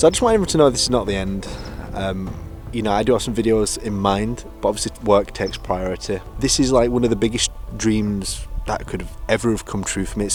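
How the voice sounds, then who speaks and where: Over background music, a man with a Yorkshire accent talks at a very fast pace in a fairly low voice with ordinary pitch variation. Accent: Yorkshire northern English. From northern England (Yorkshire).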